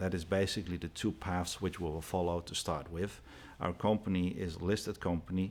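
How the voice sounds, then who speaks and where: With a Dutch accent, the speaker talks at a fairly quick pace in a monotone, flat intonation. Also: man, very deep, low pitch for a man, very clean recording, silent background. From Netherlands. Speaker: company CEO. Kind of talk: TV interview.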